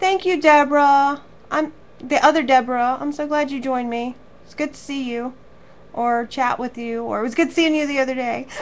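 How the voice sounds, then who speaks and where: High-pitched woman's voice, fairly even in intonation, with big swings in loudness. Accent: American. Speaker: craft teacher. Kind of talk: live online class wrap-up chat. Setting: live stream to viewers. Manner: warm, chatty.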